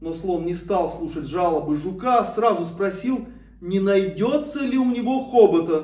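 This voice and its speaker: A man speaks at a fairly slow pace with lively intonation and a dark, mellow tone. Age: 40s. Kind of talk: read-aloud fairy tale for children.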